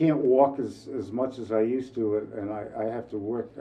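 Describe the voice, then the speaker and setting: Over music in the background, a man with a fairly low voice talks at a moderate pace with ordinary pitch variation. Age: 70s. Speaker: resident of community housing. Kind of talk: testimony interview. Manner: halting.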